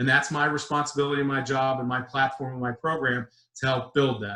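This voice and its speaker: The speaker is a man with a fairly high pitch. His tone comes across bright and sharp. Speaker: risk management executive presenting a webinar. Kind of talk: webinar presentation. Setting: online webinar. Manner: fast; animated.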